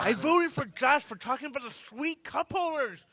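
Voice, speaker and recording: This is a put-on character voice, pitched high. It moves at a moderate pace. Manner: nerdy, geeky.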